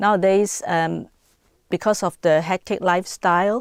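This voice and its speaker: A woman with a Hong Kong accent speaks at a moderate pace in a medium pitch with monotone, flat intonation, recorded very cleanly with a silent background and a dry, close sound with no echo. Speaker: interviewee. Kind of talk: interview answer.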